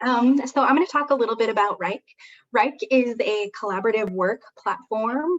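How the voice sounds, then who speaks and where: At a moderate pace, a woman talks in an American accent with ordinary pitch variation. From Wyoming, US. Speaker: software solution consultant; presenter. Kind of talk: webinar presentation. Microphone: video call.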